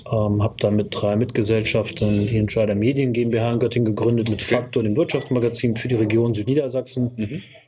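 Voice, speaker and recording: With hardly any pauses, a man speaks fairly quickly at medium pitch in a monotone, flat intonation over noticeable background noise. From northern Hesse, Kassel. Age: 40s. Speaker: media entrepreneur and magazine publisher. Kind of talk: interview.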